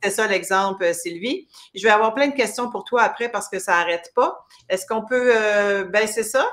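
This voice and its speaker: A woman's plain, everyday voice, fairly high in pitch, with ordinary pitch variation at a moderate pace. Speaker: talk show host. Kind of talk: interview. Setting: livestream video. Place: home room. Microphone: webcam.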